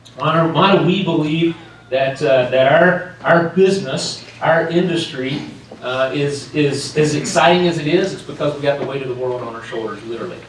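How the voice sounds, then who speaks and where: Amid noticeable background noise and audible room echo, a man speaks at a moderate pace with a fairly high pitch, ordinary pitch variation and big swings in loudness. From North Carolina, US South. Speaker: sales executive, keynote speaker. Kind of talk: keynote address. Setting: stage with audience. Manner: animated, passionate.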